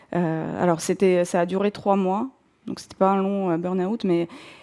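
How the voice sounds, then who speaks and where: A woman's dark, mellow voice with a Russian accent. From southern Russia, North Caucasus. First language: Russian (speaking French). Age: 40s. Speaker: career changer, bookshop owner. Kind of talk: personal testimony. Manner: hesitant, many fillers.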